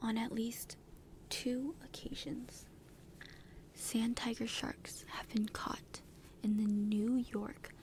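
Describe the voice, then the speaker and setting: Someone is whispering at a very slow pace with long, frequent pauses over noticeable background noise. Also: woman. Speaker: ASMR content creator. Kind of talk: reading shark facts aloud from a text.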